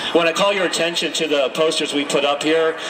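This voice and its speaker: Noticeable background noise runs under the recording. A man speaks with monotone, flat intonation. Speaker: community organizer. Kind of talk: rally speech. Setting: outdoor rally. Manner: earnest, rousing, measured activist delivery. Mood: earnest, indignant. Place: street. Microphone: handheld.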